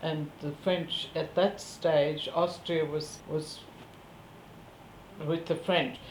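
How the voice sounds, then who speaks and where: Speaking very slowly, a woman with a fairly low pitch keeps a monotone, flat intonation amid audible room echo. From Central Europe, ethnic German. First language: German. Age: 70s. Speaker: war refugee interviewee. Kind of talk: interview testimony. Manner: halting, many fillers.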